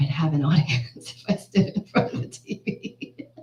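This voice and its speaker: Speaking with an American accent, a woman's voice comes across as somewhat breathy. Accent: Texan, sometimes, usually hidden. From US, Houston, Texas. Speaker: singer-songwriter. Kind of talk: interview conversation.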